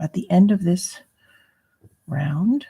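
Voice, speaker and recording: A quiet, somewhat breathy woman's voice, fairly low in pitch, dark and mellow in tone, at a very slow pace. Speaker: crochet tutorial youtuber. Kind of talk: tutorial. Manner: hesitant with fillers.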